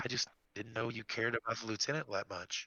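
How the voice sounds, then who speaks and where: A man's put-on character voice, very fast, medium in pitch, with fairly even intonation. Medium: actual play.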